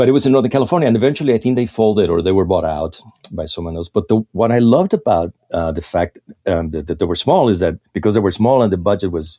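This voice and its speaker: Very fast speech comes from a man with a Mexican accent, a fairly low pitch and a dark, mellow tone, in a dry, close sound with no echo. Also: lively intonation. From Mexico. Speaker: illustrator. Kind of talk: casual interview chat. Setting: podcast recording. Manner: halting, repeats words.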